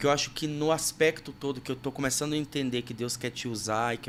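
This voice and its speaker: With a plain, everyday voice, a man talks at a medium pitch and a fairly quick pace, his intonation fairly even. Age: 30s. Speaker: podcast host and worship music producer. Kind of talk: casual interview chat.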